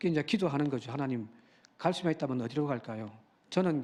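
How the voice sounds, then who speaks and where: A man's voice sits fairly high, its pitch varying in an ordinary way. The background is silent and the recording very clean. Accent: Busan. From Busan, South Korea. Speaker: pastor. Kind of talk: sermon. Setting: church.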